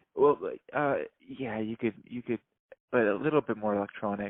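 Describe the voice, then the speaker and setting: A man speaks softly. His pace is fairly slow. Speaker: podcast guest with schizophrenia. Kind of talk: casual chat. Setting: phone call. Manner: soft-spoken; halting.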